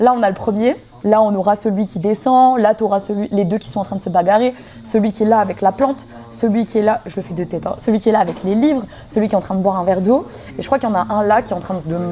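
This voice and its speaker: Music plays in the background as a woman talks very fast at a fairly high pitch with ordinary pitch variation. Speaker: YouTuber opening Pokémon card boosters. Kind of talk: casual vlog chat. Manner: animated.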